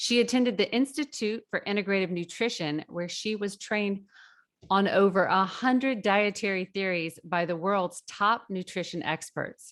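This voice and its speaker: A woman with an unremarkable speaking voice talks at a medium pitch and a moderate pace, with ordinary pitch variation over a quiet background. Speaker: podcast host. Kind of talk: podcast interview.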